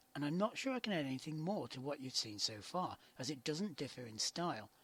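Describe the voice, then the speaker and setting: His pitch swinging very widely, a man talks at a fairly quick pace in a somewhat breathy voice. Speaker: game reviewer. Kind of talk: video game review narration.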